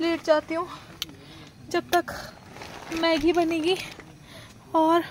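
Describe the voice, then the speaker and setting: Recorded with a dry sound and no echo, a woman speaks at an extremely high pitch against light background noise. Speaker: solo camping vlogger. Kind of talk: casual vlog chat. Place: tent. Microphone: phone near.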